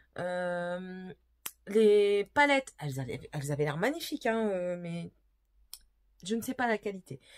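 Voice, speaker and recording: Here a woman speaks at a medium pitch and a fairly slow pace. Her pitch swings very widely. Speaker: beauty vlogger. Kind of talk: casual product haul video. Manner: hesitant with many fillers.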